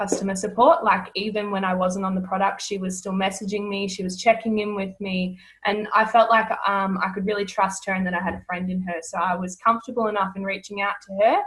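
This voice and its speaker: Talking at a fairly quick pace, a woman with an Australian accent keeps a medium pitch in a monotone, flat intonation. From Australia, rural Victoria. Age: 20s. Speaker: network marketing distributor. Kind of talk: casual interview.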